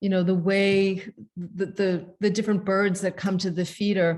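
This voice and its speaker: Against a quiet background, a woman with a normal speaking voice talks at a medium pitch with fairly even intonation. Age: 60s. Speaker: author and presenter. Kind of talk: casual chat.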